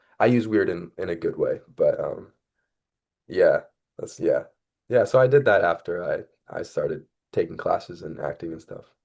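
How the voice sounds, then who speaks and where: A man with an American accent speaks at a moderate pace, his loudness swinging widely and his speech broken by long, frequent pauses. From US West, central California. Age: 20s. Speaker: actor and singer-songwriter. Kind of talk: casual interview chat. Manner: halting, many fillers and restarts.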